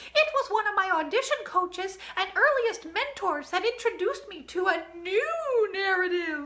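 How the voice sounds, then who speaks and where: At a moderate pace and with hardly any pauses, the speaker performs a put-on character voice. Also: female-sounding voice, extremely high pitch for a woman. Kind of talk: storytime reading with comic asides. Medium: read story. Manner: playful, sly deadpan asides.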